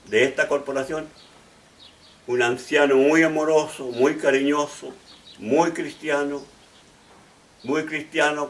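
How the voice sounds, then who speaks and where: Noticeable background noise runs under this recording. A man speaks at a very slow pace with a fairly high pitch. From Chile, Valparaíso region. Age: 80s+. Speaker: pastor and bishop. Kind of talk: testimony. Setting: at home. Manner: halting, with restarts.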